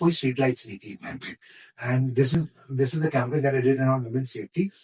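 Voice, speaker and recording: A man speaks. His voice is somewhat breathy. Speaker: radio jockey and content creator. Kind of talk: podcast interview answer, casual conversation. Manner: animated, storytelling.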